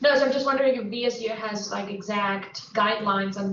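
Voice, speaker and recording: This voice carries a Spanish accent. Its speed is moderate. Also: woman. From Colombia. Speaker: university staff member. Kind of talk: Q&A discussion. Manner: halting.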